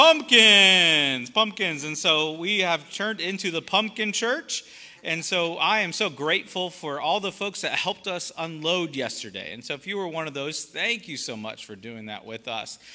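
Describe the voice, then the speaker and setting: A man speaks in a bright, sharp tone. He keeps a moderate pace with hardly any pauses. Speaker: pastor. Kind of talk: church announcements. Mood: warm and upbeat. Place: church.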